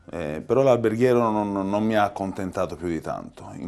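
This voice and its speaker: Speaking with a strong Tuscan accent, the man has a fairly low pitch and ordinary pitch variation. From Tuscany, after early childhood in Palermo. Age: 40s. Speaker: pizza chef. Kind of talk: interview.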